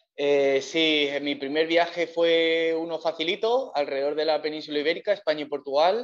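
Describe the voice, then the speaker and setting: This is a plain, everyday voice. A man speaks at a fairly high pitch and a moderate pace. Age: 30s. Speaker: long-distance cycle tourer. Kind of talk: interview. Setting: remote call from Cape Town.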